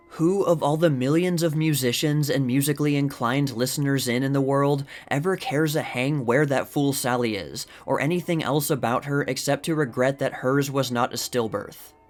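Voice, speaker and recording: The voice keeps a moderate pace and ordinary pitch variation, with music behind it. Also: man. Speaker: YouTube history channel host reading period articles. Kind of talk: reading a vintage opinion article aloud.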